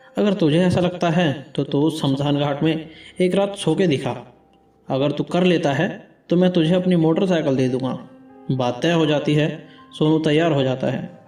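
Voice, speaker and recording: With music in the background, the speaker goes at a moderate pace with long, frequent pauses, ordinary pitch variation and very even loudness. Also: man, fairly high pitch for a man. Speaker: storyteller. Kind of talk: animated horror story narration.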